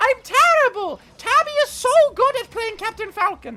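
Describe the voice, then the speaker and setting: Delivered at a moderate pace, this put-on character voice in a British accent sits at an extremely high pitch. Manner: complaining, gloomy.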